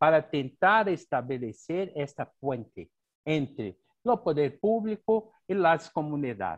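Speech comes at a very slow pace with lively intonation, in a dry, close sound with no echo against a quiet background. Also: man. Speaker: architecture professor. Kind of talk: Q&A question.

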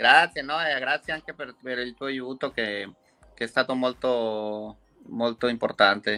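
The sound is dry and close with no echo as a man speaks very slowly at medium pitch, in a bright, sharp tone with fairly even intonation. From Mexico. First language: Spanish (speaking Italian). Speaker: violin maker. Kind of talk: interview.

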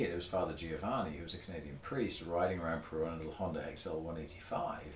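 This man talks at a moderate pace in a very deep, low voice. There is audible echo from the room. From southern England, Torbay (Devon coast). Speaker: motorcycle journalist. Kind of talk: casual chat. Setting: garage.

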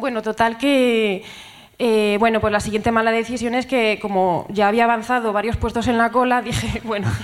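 Noticeable background noise sits behind a woman with a fairly high pitch. Her intonation is monotone and flat, at a moderate pace and very even loudness. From Ponferrada, Spain. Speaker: audience member telling a story. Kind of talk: comedic storytelling on stage. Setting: stage with live audience.

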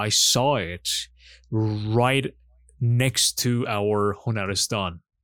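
A man speaks with a Persian accent at a very slow pace. Long, frequent pauses break up his fairly even intonation. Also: fairly low pitch for a man. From Iran. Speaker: podcast co-host. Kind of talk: casual chat. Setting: remote call.

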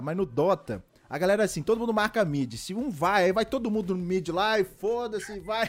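A man talks fairly quickly at a high pitch. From Belo Horizonte, Brazil. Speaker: podcast host. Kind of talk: casual chat.

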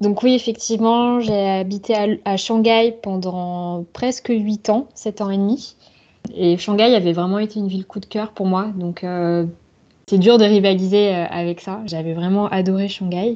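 A dark, mellow tone carries fairly even intonation. The background is quiet. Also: woman, medium pitch for a woman. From south-west France, Bordeaux. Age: 30s. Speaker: lawyer, expat. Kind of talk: interview testimony.

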